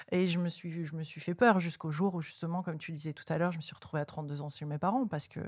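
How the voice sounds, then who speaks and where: A woman talks at a very fast pace with hardly any pauses. Her pitch is fairly low, with ordinary variation. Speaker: spiritual interviewer and author. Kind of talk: casual chat.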